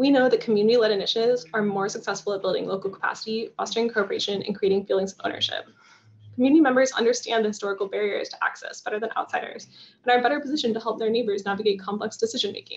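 With an American accent, a woman speaks at a very fast pace in a fairly high pitch, showing ordinary pitch variation. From Florida. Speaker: environmental agency staffer. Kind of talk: presentation. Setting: video call.

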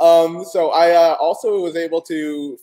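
A man with an American accent speaks against a quiet background. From US South, Atlanta; US South. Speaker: comic shop host. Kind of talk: casual interview. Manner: animated. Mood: friendly, upbeat, smiling. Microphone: webcam.

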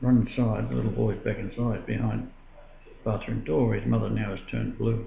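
A man with an Australian accent talks at a fairly quick pace. Audible room echo and light background noise surround him. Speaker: religious video blogger. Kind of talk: personal testimony monologue. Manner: halting, with frequent filler. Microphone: webcam.

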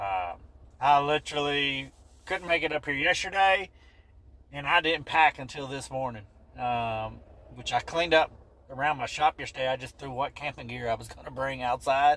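With long, frequent pauses, a man talks at a moderate pace, his loudness swinging widely while his pitch varies in an ordinary way. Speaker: vlogger. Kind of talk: casual vlog chat. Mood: relaxed, upbeat. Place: car. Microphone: phone near.

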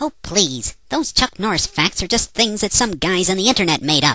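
A put-on character voice, female-sounding, at medium pitch for a woman and a moderate pace. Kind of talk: comic dialogue. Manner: sarcastic, exasperated.

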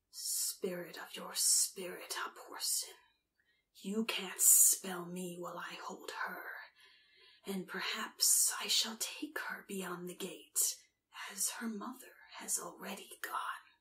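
Putting on a character voice, a woman speaks gravelly and raspy at a fairly high pitch and a fairly slow pace. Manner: menacing, threatening.

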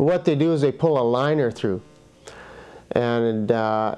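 Speaking at a moderate speed, a man lets his pitch vary in an ordinary way. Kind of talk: interview answer. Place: studio. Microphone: lapel.

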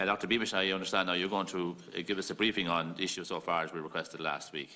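A man's very fast speech in a very deep, low pitch, with an Irish accent and fairly even intonation. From Ireland. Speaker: committee chairman. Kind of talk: formal chairing. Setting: parliamentary committee room. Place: meeting room. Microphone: podium.

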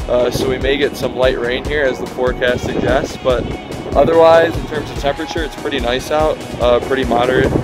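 The sound is dry with no echo, and clear music plays in the background. A man talks at a fairly quick pace. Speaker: hiking vlogger. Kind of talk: casual vlog chat. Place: open country. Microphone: phone near.

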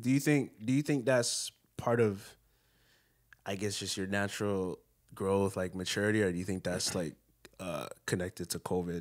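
Against a quiet background, a man with a fairly low pitch speaks at a moderate pace, with ordinary pitch variation and long, frequent pauses. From Canada, Jamaican family. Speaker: podcast co-host. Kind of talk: casual chat. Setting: in person in a hotel room. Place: home room. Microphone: handheld.

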